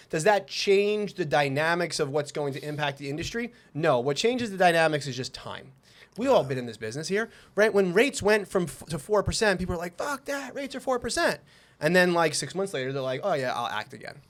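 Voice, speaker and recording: In a New York accent, a man talks at a fairly quick pace in a high pitch, with very wide pitch swings and big swings in loudness, on a very clean recording with a silent background. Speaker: mortgage lender. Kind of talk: casual chat. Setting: office. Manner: fast.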